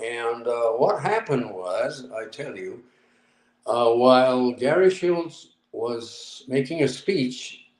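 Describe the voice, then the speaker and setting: This man talks very slowly at a medium pitch, his intonation lively. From Japan. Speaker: UFO researcher. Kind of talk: interview answer.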